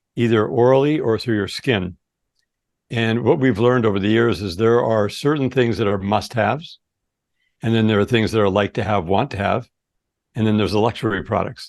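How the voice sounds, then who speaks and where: A man's plain, everyday voice at medium pitch, fairly quick, with ordinary pitch variation over a quiet background. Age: 60s. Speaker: supplement company founder. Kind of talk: interview.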